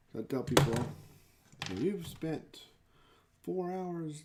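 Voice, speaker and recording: With a Texas accent, a man talks in a dark, mellow tone and lively intonation. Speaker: miniature hobby streamer. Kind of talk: live stream hobby tutorial while crafting. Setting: live stream. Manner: casual, chatty.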